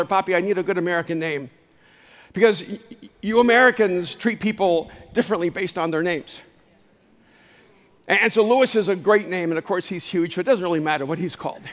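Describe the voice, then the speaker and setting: A high-pitched man at a fairly quick pace, broken by long, frequent pauses. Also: ordinary pitch variation. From El Salvador. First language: Spanish. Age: 60s. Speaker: speaker and author. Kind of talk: motivational keynote talk. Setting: live stage.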